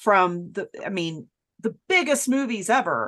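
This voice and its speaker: At a fairly slow pace and medium pitch, a woman with an ordinary speaking voice talks with lively intonation. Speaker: podcast co-host. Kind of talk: casual chat.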